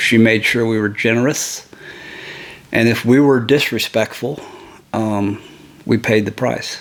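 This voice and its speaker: Noticeable background noise sits behind a man with an American accent. He talks at a very slow pace with a medium pitch. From Ohio. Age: 60s. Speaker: family elder. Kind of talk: oral history interview. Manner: hesitant with fillers.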